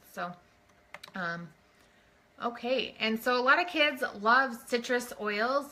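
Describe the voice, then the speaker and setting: A woman speaks in a normal speaking voice, her pitch fairly high with ordinary variation. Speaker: essential oils presenter. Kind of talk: live online class.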